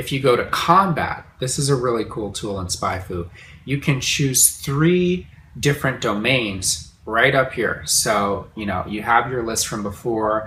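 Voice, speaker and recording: A man with an ordinary speaking voice talks at a fairly slow pace. His medium pitch carries lively intonation. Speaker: online course instructor. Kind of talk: tutorial. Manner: casual, conversational.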